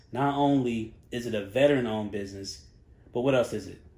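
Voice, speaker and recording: This man talks at a fairly quick pace in a North Carolina accent, his voice at a medium pitch with a dark, mellow tone and ordinary pitch variation. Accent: Southern US (North Carolina). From Charlotte, North Carolina. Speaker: podcast producer and host. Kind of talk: casual interview chat. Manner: lighthearted, upbeat.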